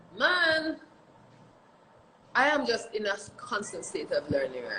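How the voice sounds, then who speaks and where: Very wide pitch swings from a woman speaking. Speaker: reggae singer. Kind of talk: interview. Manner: fast.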